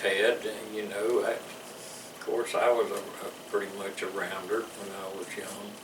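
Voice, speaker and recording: The speech moves at a fairly slow pace. Noticeable background noise and audible room echo surround it. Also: man. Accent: Louisiana. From US South. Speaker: war veteran. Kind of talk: interview. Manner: halting.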